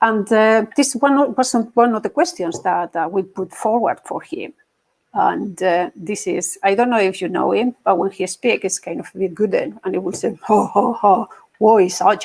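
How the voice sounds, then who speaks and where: A woman's fairly high voice at a moderate pace, with ordinary pitch variation and a dry, close sound with no echo. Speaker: agile coach. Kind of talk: conference talk.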